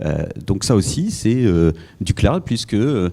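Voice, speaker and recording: On a very clean recording with a silent background, a man speaks very slowly in a dark, mellow tone. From Paris, France. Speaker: business consultant. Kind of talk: panel discussion. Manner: hesitant, many fillers.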